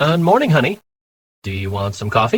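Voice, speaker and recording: Delivered in a dry, close sound with no echo, a put-on character voice moves at a fairly quick pace with very wide pitch swings. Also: man. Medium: read story.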